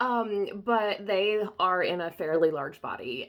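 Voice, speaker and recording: With lively intonation, a woman speaks in a Southern US accent at a medium pitch. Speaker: body-positive photographer. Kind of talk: casual talk to camera.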